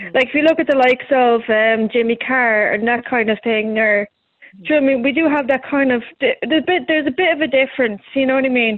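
A woman with a Dublin accent talks at a very fast pace in a high pitch, her pitch varying in an ordinary way. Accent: Dublin Irish. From Ireland, Dublin. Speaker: comedian. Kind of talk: casual interview.

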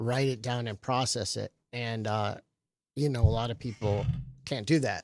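A man with an American accent uses an ordinary speaking voice at medium pitch, moderate pace and fairly even intonation. The sound is dry and close with no echo, on a very clean recording with a silent background. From Michigan and Florida. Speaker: comedian. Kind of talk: casual chat. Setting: studio.

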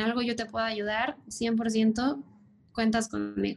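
Her voice sits at a fairly high pitch. The woman talks at a fairly slow pace. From Mexico City. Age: 30s. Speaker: commercial airline pilot. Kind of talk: podcast interview.

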